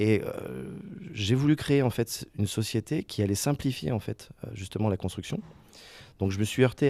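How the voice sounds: Fairly quick and fairly low in pitch, a man's voice carries a dark, mellow tone and ordinary pitch variation.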